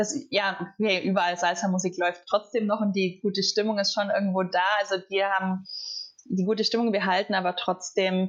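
A woman in a normal speaking voice, medium in pitch, at a moderate pace with fairly even intonation. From southern Germany. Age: 20s. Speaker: former exchange student. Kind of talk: casual chat.

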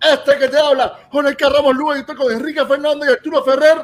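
This is a man speaking. His tone is animated. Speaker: podcast host. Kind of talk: casual chat.

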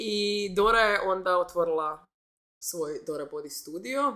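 Medium pitch and a bright, sharp tone in a woman's voice. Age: 30s. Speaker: entrepreneur and yoga instructor. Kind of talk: casual chat.

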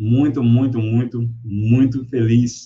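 With a somewhat breathy quality, the man's voice has a dark, mellow tone. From Brazil, Salvador (Bahia). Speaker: teacher and social media educator. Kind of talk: casual chat. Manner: animated.

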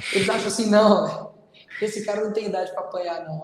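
A man speaks in a high voice. Noticeable background noise runs under him. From Brazil, Belo Horizonte (Minas Gerais). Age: 20s. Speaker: political candidate and online content creator. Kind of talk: casual chat.

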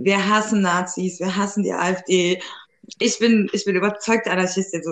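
A woman's normal speaking voice, medium in pitch, at a moderate pace with fairly even intonation. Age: 30s. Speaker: podcast co-host. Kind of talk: casual chat.

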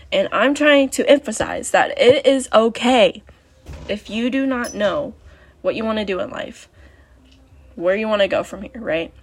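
Music plays in the background while the speaker goes at a moderate pace with long, frequent pauses. The loudness swings widely. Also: woman. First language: not English. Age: 20s. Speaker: podcast host. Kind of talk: solo podcast monologue.

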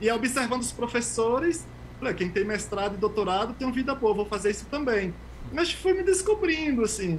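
Against noticeable background noise, a man with an extremely high pitch speaks at a fairly quick pace in a lively intonation. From Brazil, Bahia interior (sertão). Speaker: immunologist scientist. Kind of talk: interview. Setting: video call.

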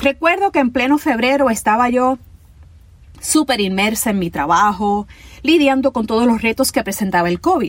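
Using very wide pitch swings, a high-pitched woman with a Puerto Rican accent speaks at a moderate pace. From Puerto Rico, Ponce. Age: 50s. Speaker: podcast host, cancer survivor. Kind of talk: personal storytelling narration.

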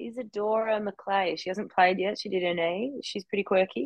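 A woman speaks with an Australian accent and lively intonation. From Australia, Melbourne. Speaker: professional footballer. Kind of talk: casual interview.

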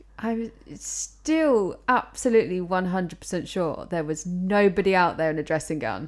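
In a British accent, a woman speaks with lively intonation and big swings in loudness on a very clean recording with a silent background. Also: medium pitch for a woman, moderate pace, hardly any pauses. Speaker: podcast co-host. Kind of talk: casual chat. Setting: home recording with mics.

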